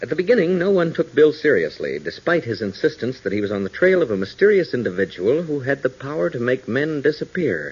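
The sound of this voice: Talking at a fairly quick pace with few pauses, a man swings his medium pitch widely, his tone slightly mellow with a slightly husky edge.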